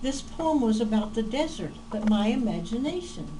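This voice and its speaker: Audible room echo and noticeable background noise surround a woman with an American accent and a fairly high pitch. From Oklahoma, US. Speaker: poet. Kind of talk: casual personal introduction; poetry reading. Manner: hesitant with fillers.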